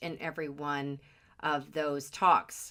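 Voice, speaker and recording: A woman's voice with music in the background. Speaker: podcast host. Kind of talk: podcast introduction.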